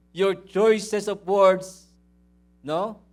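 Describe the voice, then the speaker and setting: This man's voice is loud. His pitch sits high. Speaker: pastor. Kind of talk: sermon. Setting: church.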